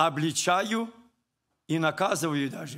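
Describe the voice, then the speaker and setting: Recorded very cleanly against a silent background, a man talks with lively intonation and a bright, sharp tone. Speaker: preacher. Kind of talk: sermon.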